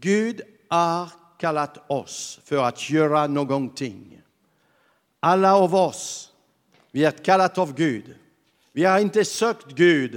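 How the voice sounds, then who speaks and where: Over a silent background in a very clean recording, a man with a fairly high voice and lively intonation speaks very slowly, with long, frequent pauses. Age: 70s. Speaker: pastor. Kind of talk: sermon. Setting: church.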